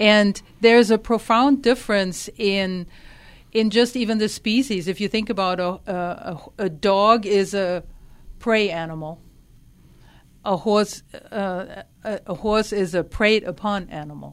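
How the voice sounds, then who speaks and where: A woman with a slight German accent talks at a fairly slow pace with a medium pitch and ordinary pitch variation. Long, frequent pauses break up her speech on a very clean recording with a silent background. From Germany. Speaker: equine therapy life coach. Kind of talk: radio interview.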